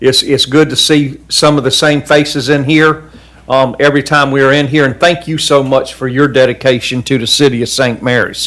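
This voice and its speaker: At a moderate pace, a man with a Southern US accent speaks in a fairly high, monotone, flat voice. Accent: Southern US (Georgia). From US South, coastal Georgia. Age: 60s. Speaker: city council member. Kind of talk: public meeting remarks. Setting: council chamber meeting.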